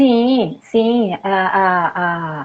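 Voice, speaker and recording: A woman speaks with lively intonation. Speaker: family systemic therapist. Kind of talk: interview.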